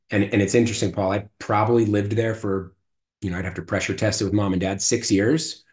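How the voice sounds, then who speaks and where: Against a quiet background, a man with an American accent talks at a very fast pace in a somewhat breathy, fairly low voice with fairly even intonation. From Marin County, Northern California. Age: 40s. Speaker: podcast guest. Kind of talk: casual chat. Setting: studio, in person.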